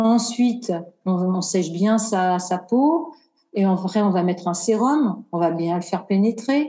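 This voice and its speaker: Her speech is very slow and somewhat breathy, with a dark, mellow tone, medium pitch and ordinary pitch variation. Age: 50s. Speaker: cosmetic engineer and skincare brand founder. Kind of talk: casual interview.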